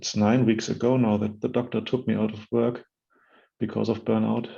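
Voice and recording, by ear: A man talks at a fairly slow pace in a fairly low voice with vocal fry and little pitch movement, and room echo can be heard.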